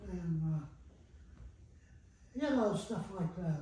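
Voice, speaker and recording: A man with an American accent speaks at a very slow pace. Audible room echo and noticeable background noise fill the recording. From Granville, Ohio, US Midwest. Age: 90s. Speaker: elderly local resident recalling childhood. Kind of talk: oral history interview. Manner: casual, plain-spoken with hesitations.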